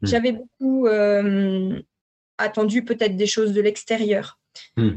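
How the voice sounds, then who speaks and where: A woman talks at a fairly high pitch. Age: 40s. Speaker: psycho-body therapist for perinatal grief. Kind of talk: personal testimony.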